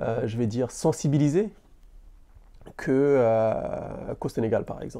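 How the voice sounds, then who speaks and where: Against a quiet background, a man with a dark, mellow tone speaks at a very slow pace with ordinary pitch variation. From Senegal. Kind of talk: interview answer. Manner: stammering.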